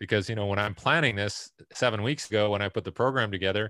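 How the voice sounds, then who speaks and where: A man's fairly low, bright, sharp voice with a Canadian accent, dry and close with no echo, on a very clean recording with a silent background. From Canada. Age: 50s. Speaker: sports performance consultant. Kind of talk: interview.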